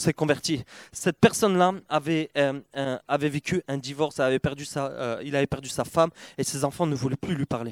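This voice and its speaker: Recorded with a dry, close sound and no echo, a man speaks in an animated tone at a fairly high pitch and moderate pace, with ordinary pitch variation. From Perpignan, southern France. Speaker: church member sharing testimony. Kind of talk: testimony at church gathering.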